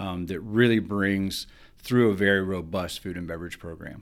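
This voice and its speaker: Very deep and low in pitch, a man speaks in a Southern US accent. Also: very clean recording, silent background. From Alabama, US South. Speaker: hotel food and beverage director. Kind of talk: interview.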